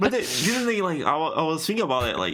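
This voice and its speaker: A man's bright, sharp voice with a Portuguese accent and audible room echo. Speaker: podcast co-host. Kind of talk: casual chat. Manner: halting.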